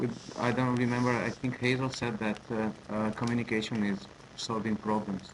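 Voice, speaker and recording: A man at medium pitch speaks at a moderate pace with monotone, flat intonation and very even loudness. Noticeable background noise runs behind him. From Italy. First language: Italian. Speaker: language teacher. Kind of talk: online group discussion. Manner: halting.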